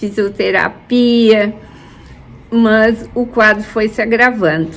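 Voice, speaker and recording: A woman's medium-pitched voice at a very slow pace. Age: 70s. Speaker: church member. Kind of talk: testimony.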